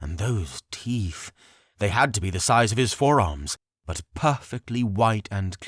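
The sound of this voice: Against a quiet background, the speaker reads in an unforced reading voice.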